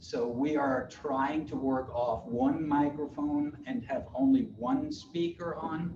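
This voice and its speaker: Against noticeable background noise and audible room echo, a man with a German accent talks in a fairly high voice with ordinary pitch variation. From Germany. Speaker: college professor. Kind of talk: lecture.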